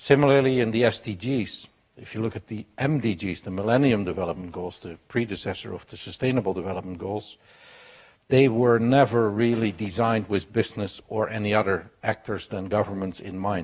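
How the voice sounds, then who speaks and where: A man with a Dutch accent talks at a fairly quick pace and a fairly low pitch. His loudness swings widely while his pitch variation is ordinary. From Netherlands. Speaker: business executive. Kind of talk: panel talk.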